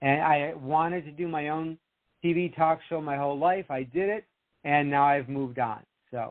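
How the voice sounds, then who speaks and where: A man with a plain, everyday voice and an American accent speaks at a moderate pace, using fairly high pitch and fairly even intonation. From Rochester, New York, US. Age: 60s. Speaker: author and TV producer. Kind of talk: interview chat.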